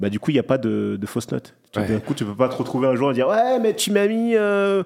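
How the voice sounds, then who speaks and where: Here a man talks at a very fast pace. His pitch swings very widely. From Paris suburbs, Clichy-la-Garenne. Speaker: film director. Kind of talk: casual interview.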